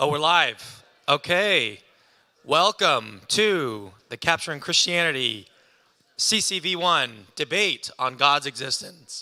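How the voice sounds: Putting on a raspy, hoarse character voice, a man speaks at a fairly high pitch with lively intonation and a fairly slow pace.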